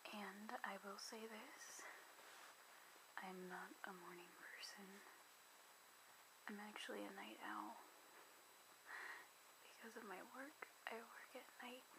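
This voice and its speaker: A woman talks at medium pitch and a very slow pace, with long, frequent pauses. Her intonation stays fairly even over noticeable background noise. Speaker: ASMR creator. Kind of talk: ASMR makeup show and tell. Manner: soft-spoken, whispering.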